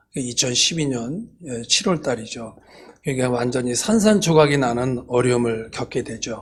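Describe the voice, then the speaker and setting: A fairly slow delivery amid noticeable background noise and audible room echo. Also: man, medium pitch for a man, ordinary pitch variation. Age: 60s. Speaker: church elder and business owner. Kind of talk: testimony. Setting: church service. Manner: halting, many fillers.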